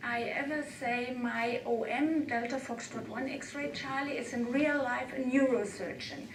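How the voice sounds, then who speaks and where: A woman with a non-native accent speaks at a high pitch, with noticeable background noise and audible room echo. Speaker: amateur radio operator and conference speaker. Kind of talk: conference talk. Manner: halting.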